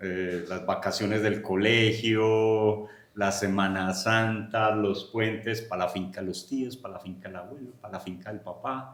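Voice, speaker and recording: Speaking in a paisa accent with hardly any pauses, a man uses a fairly low pitch and fairly even intonation amid audible room echo and noticeable background noise. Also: fairly slow pace, big swings in loudness. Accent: paisa (Medellín). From Colombia, Medellín (paisa). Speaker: agronomist and research center director. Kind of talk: podcast interview.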